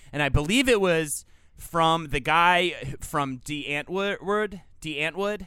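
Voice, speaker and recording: A man with an American accent talks at a very slow pace, his high pitch showing ordinary variation. His tone is bright and sharp. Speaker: podcast co-host. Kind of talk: casual chat.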